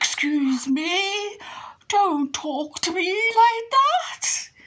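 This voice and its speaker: Someone drawls out a put-on character voice extremely slowly. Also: woman, extremely high pitch for a woman. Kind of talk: posh, snooty.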